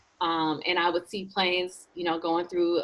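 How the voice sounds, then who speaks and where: An ordinary speaking voice at a fairly slow pace, with an American accent. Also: woman. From Michigan, Flint. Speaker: aerospace engineer. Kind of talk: interview.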